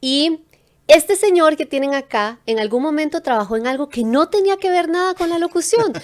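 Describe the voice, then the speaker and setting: At a moderate pace, a woman speaks with lively intonation at an extremely high pitch. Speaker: podcast host. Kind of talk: podcast interview host.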